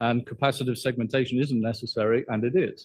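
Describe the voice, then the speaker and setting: A man with a British accent, medium pitch and a moderate pace. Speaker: professor. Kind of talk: lecture.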